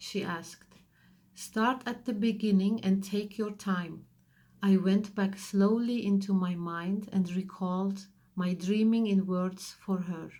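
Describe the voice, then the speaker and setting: A woman with a medium pitch speaks somewhat breathily at a fairly slow pace, in a dark, mellow tone with monotone, flat intonation. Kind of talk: audiobook reading.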